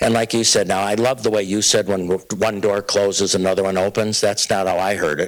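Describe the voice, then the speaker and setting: Fairly quick and with hardly any pauses, a man talks in a fairly low voice. His intonation is flat and monotone. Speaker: leadership speaker and author. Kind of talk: lecture. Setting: stage with live and Zoom audience. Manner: mispronounces words and keeps going.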